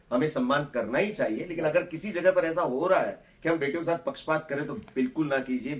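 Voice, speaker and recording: A man with a normal speaking voice and a fairly high pitch. His intonation is lively. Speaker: dentist. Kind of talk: casual talk to camera.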